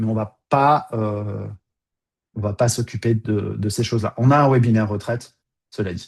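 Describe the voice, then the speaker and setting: Over a quiet background, a somewhat breathy man speaks at a fairly slow pace with fairly even intonation and long, frequent pauses. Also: medium pitch for a man. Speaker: financial advisor. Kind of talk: webinar presentation. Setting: video call. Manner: hesitant with many fillers.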